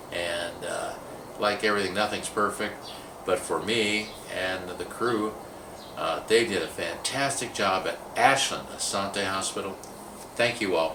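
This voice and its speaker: Over noticeable background noise and audible room echo, a man with a fairly low pitch talks at a fairly slow pace with fairly even intonation. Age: 60s. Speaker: video marketer sharing a patient experience. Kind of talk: personal testimonial monologue. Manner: hesitant, many fillers.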